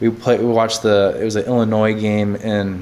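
Against noticeable background noise, a man with an American accent talks at a fairly quick pace in a fairly low pitch, with fairly even intonation. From central Wisconsin. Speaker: former pro football player. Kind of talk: casual sports chat.

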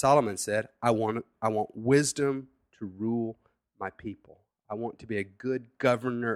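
Here is a man with an unremarkable speaking voice and medium pitch. He goes at a fairly slow pace with ordinary pitch variation. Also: very clean recording, silent background. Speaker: pastor. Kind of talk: sermon. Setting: home studio.

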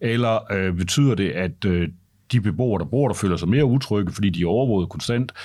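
A man's fairly low, ordinary speaking voice, at a fairly quick pace with lively intonation, on a very clean recording with a silent background. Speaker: journalist and tech critic. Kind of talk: casual interview.

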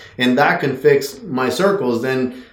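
A fairly high-pitched male voice carries audible room echo around it. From Mexico. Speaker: horse trainer. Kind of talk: interview.

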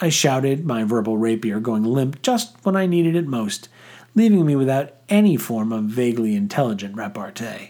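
The voice reads aloud. It sounds unforced.

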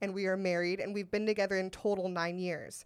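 In a very clean recording with a silent background, a woman with an American accent uses a normal speaking voice at medium pitch and fairly even intonation. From US West Coast, Sacramento. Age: 30s. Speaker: comedian. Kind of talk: casual chat.

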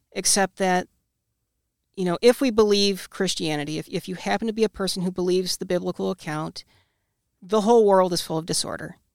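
Recorded very cleanly against a silent background, with a dry, close sound and no echo, a woman speaks fairly quickly in an unremarkable speaking voice with ordinary pitch variation. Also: medium pitch for a woman. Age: 30s. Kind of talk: casual interview.

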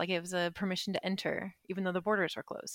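A woman's medium-pitched voice with a Western US accent, dry and close with no echo, on a very clean recording with a silent background. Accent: Western American. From US West, southern Utah. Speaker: expat interviewee. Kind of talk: casual interview chat.

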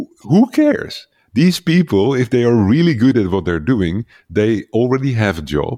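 With a Dutch accent, this voice moves at a moderate pace and makes very wide pitch swings. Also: man, medium pitch for a man. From Netherlands. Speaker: leadership coach for entrepreneurs. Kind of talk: interview conversation.

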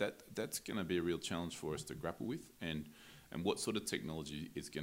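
The speaker has an Australian accent and a fairly quick pace. Vocal fry runs through the voice. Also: man. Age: 40s. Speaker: breed association chief executive and cattle farmer. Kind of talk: casual interview. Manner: halting, many fillers and repeats.

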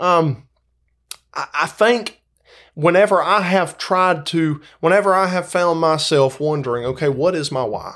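A man with a Southern US accent, high-pitched, at a fairly slow pace, on a very clean recording with a silent background. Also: ordinary pitch variation. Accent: Southern American. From US South, Georgia. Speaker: school sports coach. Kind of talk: casual chat.

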